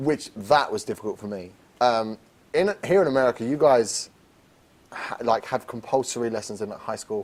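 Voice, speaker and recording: Here a man speaks with an English accent at medium pitch. His pace is moderate and his pitch varies in an ordinary way. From England. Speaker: lead actor in a student theatre production. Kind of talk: casual interview. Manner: halting, many repetitions.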